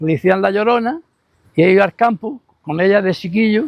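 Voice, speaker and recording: Quick-paced and lively in intonation, a man talks with a dry, close sound and no echo. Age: 80s+. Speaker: local elder. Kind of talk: testimony. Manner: halting.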